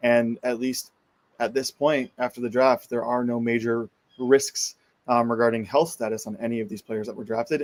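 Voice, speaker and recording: In a plain, everyday voice, the speaker keeps a moderate pace and fairly even intonation, with a dry, close sound and no echo. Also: man. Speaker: sports talk panelist. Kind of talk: casual sports talk show.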